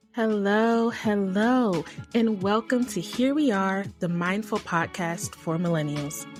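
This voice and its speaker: Music plays in the background as the speaker goes at a very slow pace. The intonation is lively, while the loudness stays very even. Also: woman, medium pitch for a woman. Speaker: podcast host. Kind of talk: podcast monologue.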